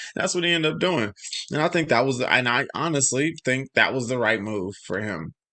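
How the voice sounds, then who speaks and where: Loud and fast-moving, a man talks at medium pitch with very wide pitch swings. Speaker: YouTube live streamer, hip hop commentator. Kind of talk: live stream commentary. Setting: live stream. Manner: casual, halting.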